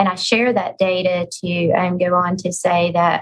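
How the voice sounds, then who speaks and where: A woman speaks at medium pitch. Her voice is somewhat breathy. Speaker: health center executive. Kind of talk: webinar panel discussion.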